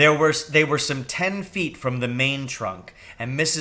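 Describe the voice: The speaker offers plain reading aloud.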